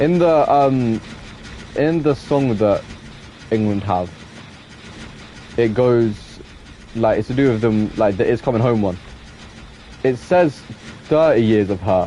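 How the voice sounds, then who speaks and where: At a medium pitch, a man speaks with ordinary pitch variation and very even loudness. Long, frequent pauses break his speech, and background noise is noticeable. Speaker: gaming streamer. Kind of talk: casual live-stream gameplay chat. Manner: fast, sometimes trips over words.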